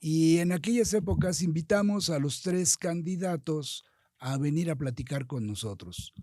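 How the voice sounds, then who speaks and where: With lively intonation, a man speaks fairly slowly at a fairly high pitch in a dark, mellow tone. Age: 70s. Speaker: politician. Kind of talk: interview.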